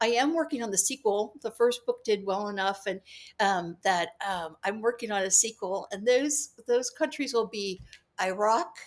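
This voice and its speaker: A woman with an American accent speaks at a moderate pace and a fairly high pitch with ordinary pitch variation, in a very clean recording with a silent background. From California, San Jose. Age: 60s. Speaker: author and international legal consultant. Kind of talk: casual interview chat. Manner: halting, with fillers and restarts.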